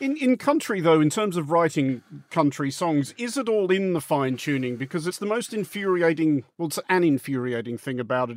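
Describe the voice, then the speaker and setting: A man talks at a fairly quick pace with lively intonation and a plain, everyday voice, the sound dry and close with no echo. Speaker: podcast interviewer. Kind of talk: interview.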